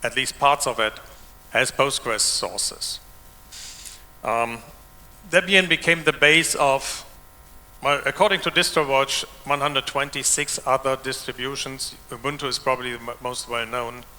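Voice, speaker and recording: Speaking at a moderate pace with long, frequent pauses, a man with a German accent has a fairly high voice. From Germany. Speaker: open source developer and conference speaker. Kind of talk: conference keynote talk. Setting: stage with audience.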